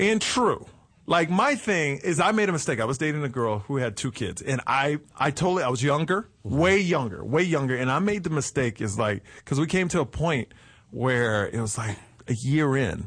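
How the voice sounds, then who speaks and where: Against a quiet background, a man with an American accent speaks at a moderate pace, his fairly high pitch moving in very wide swings. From Texas. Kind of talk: casual chat.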